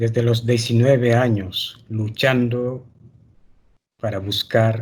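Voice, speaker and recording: A man's calm, somewhat breathy voice at medium pitch, at a very slow pace. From Mali, Timbuktu. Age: 60s. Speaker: library director and manuscript custodian. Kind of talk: webinar interview. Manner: calm, serene.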